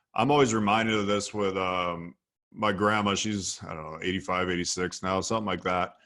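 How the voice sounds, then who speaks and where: Against a quiet background, a man with a Midwestern American accent and a very deep, low pitch speaks in a bright, sharp tone with fairly even intonation. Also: fairly quick pace. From US Midwest, Ohio (Sandusky near Cleveland). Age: 30s. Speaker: copywriter and entrepreneur. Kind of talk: podcast interview. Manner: relaxed storytelling.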